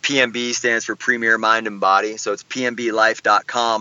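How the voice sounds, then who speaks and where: The man talks with an unremarkable speaking voice. His pitch sits in the medium range, and his pace is moderate. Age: 40s. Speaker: wellness coach and author. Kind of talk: interview.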